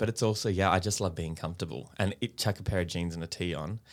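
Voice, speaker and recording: A man with an Australian accent talks very fast with ordinary pitch variation on a very clean recording with a silent background. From Australia, Brisbane (Queensland). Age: 30s. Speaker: actor and children's TV presenter. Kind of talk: casual interview. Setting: studio.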